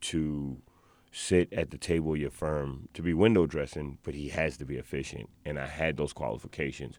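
A man's very deep, low voice in a New York accent, at a moderate pace with ordinary pitch variation. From New York, South Bronx. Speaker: activist. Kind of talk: interview. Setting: studio.

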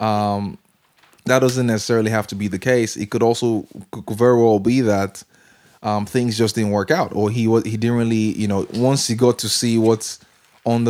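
A man speaks at a fairly quick pace in a dark, mellow tone with monotone, flat intonation. The recording is very clean, with a silent background. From Nigeria. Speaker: podcaster. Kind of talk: casual chat.

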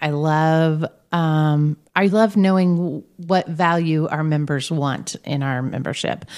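With an American accent, a woman talks in an unremarkable speaking voice, fairly low in pitch with ordinary pitch variation and hardly any pauses. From Indiana, Brownsburg. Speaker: chamber of commerce director. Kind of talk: interview.

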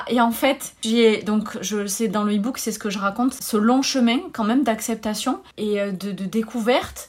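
Her high-pitched voice keeps a fairly even intonation as this woman speaks at a fairly slow pace. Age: 30s. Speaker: wellness coach and yoga teacher. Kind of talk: interview. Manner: halting.

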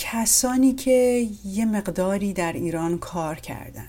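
The voice has a dark, mellow tone, somewhat breathy, with lively intonation. It moves at a very slow pace. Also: woman. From Iran. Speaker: podcast host. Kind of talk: interview.

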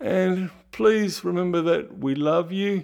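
In a very clean recording with a silent background, a man with an Australian accent talks at a very slow pace in a high pitch with ordinary pitch variation. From Australia, Ballarat, Victoria. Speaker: podcast host and producer. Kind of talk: podcast monologue.

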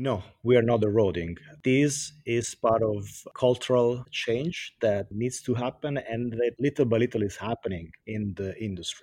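Speaking at a moderate pace with an Italian accent, a man uses a medium pitch, ordinary pitch variation and a dark, mellow tone. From Italy. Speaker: sustainability director. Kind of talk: interview.

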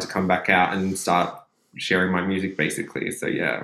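This is a man with an Australian accent. He talks at a moderate pace. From Melbourne, Australia. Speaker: DJ and club night promoter. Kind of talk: casual interview chat.

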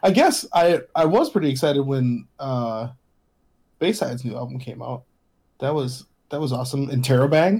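With a dark, mellow tone, a man talks at a moderate pace in a somewhat breathy, fairly high voice with ordinary pitch variation and long, frequent pauses. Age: 40s. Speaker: podcast co-host. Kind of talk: casual chat.

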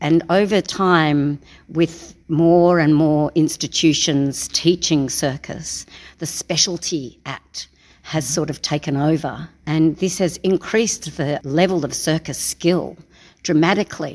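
The speaker goes at a very slow pace with fairly even intonation. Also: woman, very deep, low pitch for a woman. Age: 60s. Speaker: circus performer. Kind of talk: interview.

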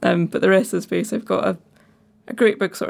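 A woman with a Scottish accent speaks with vocal fry and fairly even intonation in a very clean recording with a silent background. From Falkirk, Scotland. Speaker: ceramicist. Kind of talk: casual interview chat. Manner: relaxed, funny.

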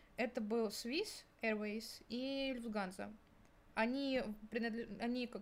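A woman speaks at a very slow pace with a fairly high pitch and fairly even intonation. Her speech has long, frequent pauses. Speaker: university student. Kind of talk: casual chat.

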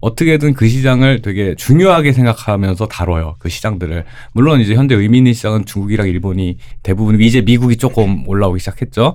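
This man's voice sits fairly low, and his intonation is lively. He talks at a very fast pace. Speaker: PhD-holding pop culture commentator. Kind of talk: casual panel discussion. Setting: studio.

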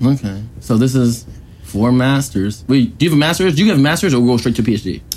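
A man talks at a fairly quick pace in a normal speaking voice, medium in pitch, with lively intonation and very even loudness. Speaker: podcast host. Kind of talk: casual banter interview. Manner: joking, laughing.

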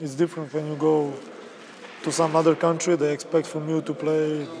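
In a Serbian accent, a man with a fairly high pitch speaks at a moderate pace in a monotone, flat intonation over noticeable background noise. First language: Serbian (speaking German). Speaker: basketball player. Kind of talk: interview.

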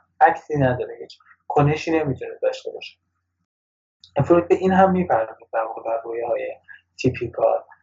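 A man talks at a fairly quick pace yet leaves long, frequent pauses, his loudness swinging widely. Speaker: workshop co-presenter. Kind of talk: lecture.

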